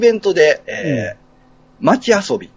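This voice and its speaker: A man is heard over noticeable background noise. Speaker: podcaster guest. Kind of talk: casual chat.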